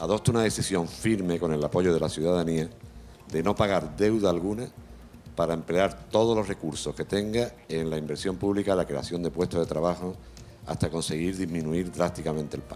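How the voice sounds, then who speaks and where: The voice has a dark, mellow tone and ordinary pitch variation, moving at a fairly quick pace. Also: man, very deep, low pitch for a man. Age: 60s. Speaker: audience member asking a question. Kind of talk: audience question.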